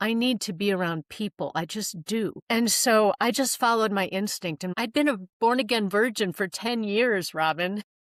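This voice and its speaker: A woman with a normal speaking voice talks in a fairly high pitch, with ordinary pitch variation and hardly any pauses. The sound is dry and close, with no echo. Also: moderate pace. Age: 60s. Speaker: professional matchmaker and dating coach. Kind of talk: podcast interview.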